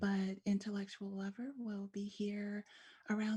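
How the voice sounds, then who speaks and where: Somewhat breathy, a woman speaks at medium pitch with a dark, mellow tone. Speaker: spoken word artist. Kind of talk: interview answer.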